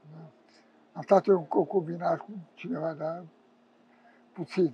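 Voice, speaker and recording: A man's high, dark, mellow voice with ordinary pitch variation at a fairly slow pace, dry with no echo. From Romania. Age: 70s. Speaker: homeless man, former prisoner. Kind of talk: interview answer. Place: street. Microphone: lapel.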